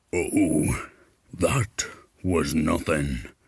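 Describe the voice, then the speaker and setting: Growling and rumbling, a man uses a put-on character voice at a very deep, low pitch. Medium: read story.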